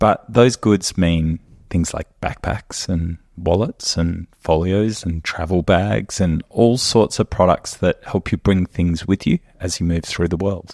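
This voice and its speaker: Very deep and low, a man speaks with an Australian accent at a fairly slow pace and with ordinary pitch variation. The sound is dry and close, with no echo. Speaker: company co-founder and podcast host. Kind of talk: casual chat.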